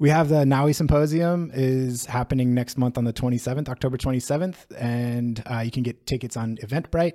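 Recorded very cleanly against a silent background, a man with an American accent talks at a fairly quick pace with hardly any pauses, a medium pitch, fairly even intonation and a dark, mellow tone. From US, San Diego, California. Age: 30s. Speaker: PhD student in NLP and linguistics. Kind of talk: casual interview conversation. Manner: hesitant, many fillers and restarts.

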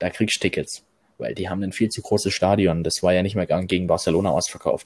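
Moving at a fairly quick pace, a man with a plain, everyday voice speaks with fairly even intonation. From Swabia, Germany. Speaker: football fan, groundhopping youtuber. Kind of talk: casual chat.

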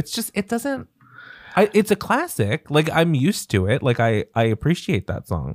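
A man with a fairly high pitch and vocal fry speaks at a moderate pace, his pitch swinging very widely. The sound is dry and close, with no echo. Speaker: podcast host. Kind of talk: casual podcast chat about pop music.

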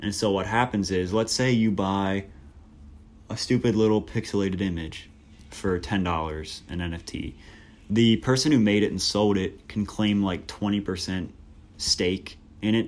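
An unremarkable speaking voice from a man, fairly low in pitch, with ordinary pitch variation at a moderate pace. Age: young. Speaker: college student podcast host. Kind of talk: solo casual commentary podcast. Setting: dorm room. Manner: casual, many fillers.

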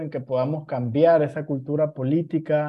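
Speaking at a fairly slow pace in a normal speaking voice, a man talks with fairly high pitch and fairly even intonation. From Nicaragua. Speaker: podcast host. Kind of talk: casual interview chat.

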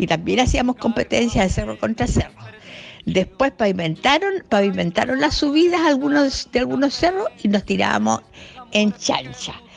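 Over noticeable background noise, a woman talks at a moderate pace with very even loudness. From Chile, Valparaíso. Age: 60s. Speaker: listener sharing childhood memories. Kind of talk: recorded anecdote.

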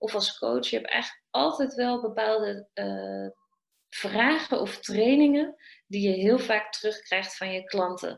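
A woman with a normal speaking voice speaks at a fairly slow pace with lively intonation. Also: fairly high pitch for a woman. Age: 30s. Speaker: business coach for trainers and coaches. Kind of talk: interview.

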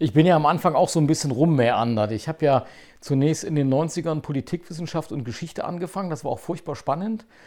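In a very clean recording with a silent background, a man with an ordinary speaking voice and fairly high pitch talks at a fairly quick pace. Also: ordinary pitch variation. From Saxony-Anhalt, eastern Germany (Zeitz). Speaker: podcast host, lawyer and politician. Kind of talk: casual chat.

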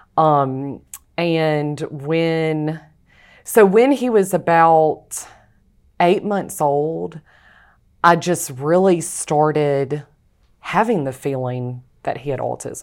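A woman with a Louisiana accent speaks at a very slow pace with long, frequent pauses, her very deep, low pitch showing ordinary pitch variation, on a very clean recording with a silent background. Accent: US Southern (Louisiana). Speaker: author. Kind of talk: interview testimony.

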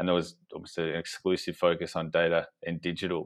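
With an Australian accent, a man speaks in a very deep, low voice. His intonation is monotone and flat, and the background is quiet. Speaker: business co-founder. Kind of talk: casual interview chat.

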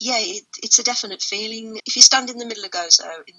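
A woman speaks with an English accent. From England. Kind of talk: interview.

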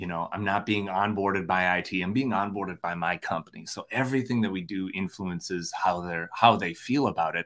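A man talks with an Upper Midwest accent at a fairly quick pace. His pitch is very deep and low with ordinary variation, and his tone is bright and sharp. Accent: Upper Midwest American. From Minnesota. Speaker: podcast host. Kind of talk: casual chat. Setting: video call. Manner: animated.

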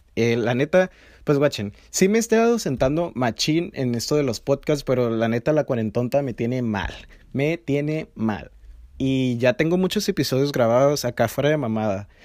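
A man with a Mexican accent and lively intonation. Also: medium pitch for a man, moderate pace. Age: 20s. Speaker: podcast host. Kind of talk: casual monologue. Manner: informal, slangy.

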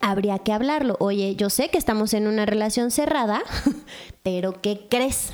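With a Mexican accent and an animated tone, the speaker goes at a fairly slow pace with very even loudness and ordinary pitch variation, against noticeable background noise. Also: woman, fairly high pitch for a woman. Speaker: podcast co-host. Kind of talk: casual chat. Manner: animated, laughing often.

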